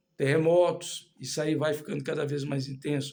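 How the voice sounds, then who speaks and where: This man's voice sits fairly high and sounds somewhat breathy. He talks at a moderate pace. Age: 60s. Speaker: lay preacher. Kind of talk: sermon. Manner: halting.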